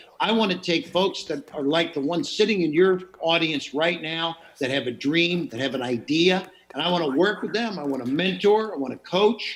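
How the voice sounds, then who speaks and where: This man's voice is high-pitched, with lively intonation. Noticeable background noise runs under the recording. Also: moderate pace. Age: 60s. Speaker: entrepreneur and investor. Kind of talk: Q&A talk. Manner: animated.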